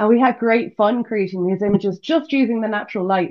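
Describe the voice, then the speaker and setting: With a British accent, a woman speaks at a fairly high pitch with ordinary pitch variation. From UK. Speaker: visual artist. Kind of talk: podcast interview. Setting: video podcast.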